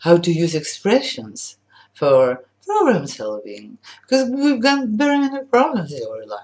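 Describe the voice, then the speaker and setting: At a fairly slow pace, the voice moves through very wide pitch swings and big swings in loudness. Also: woman, fairly low pitch for a woman. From Poland. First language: Polish. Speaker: language teacher. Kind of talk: sales pitch. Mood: warm, smiling, cheerful. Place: home room. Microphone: webcam.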